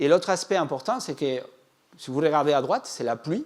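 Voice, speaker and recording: Speaking with a non-native accent, a man uses lively intonation at a fairly high pitch. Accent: foreign accent in French. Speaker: agricultural climate scientist. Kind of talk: public lecture. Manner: hesitant, with fillers.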